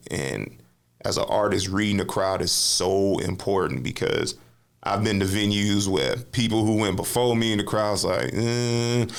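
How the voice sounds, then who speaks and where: With an American accent, a man speaks fairly slowly at a fairly low pitch, with ordinary pitch variation. His loudness stays very even, and the room echo is audible. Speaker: spoken word poet and author; navy veteran. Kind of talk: casual interview chat. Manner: loud, brash delivery; animated storytelling.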